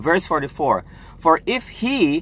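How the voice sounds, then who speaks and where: Keeping a moderate pace, a man speaks with very wide pitch swings. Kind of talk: religious talk to camera. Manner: halting, repeating words.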